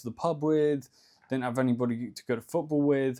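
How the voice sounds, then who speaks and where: With a slight Cornish accent, a man speaks at a medium pitch and moderate pace, his pitch varying in an ordinary way. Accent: slight Cornish southern English. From England, Cornwall. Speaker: ecommerce entrepreneur, YouTuber. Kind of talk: casual vlog monologue. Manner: relaxed, conversational with fillers.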